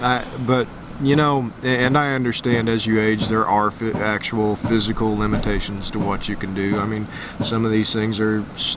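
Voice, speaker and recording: At a moderate pace, a man speaks with fairly even intonation and fairly low pitch, amid audible room echo and noticeable background noise. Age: 40s. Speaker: RV travel vlogger. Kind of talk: casual vlog chat.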